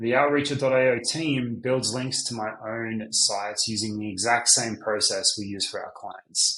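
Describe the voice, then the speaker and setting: A man's medium-pitched voice in an Australian accent, fairly slow, fairly even in intonation, with hardly any pauses. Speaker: business owner. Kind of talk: sales pitch.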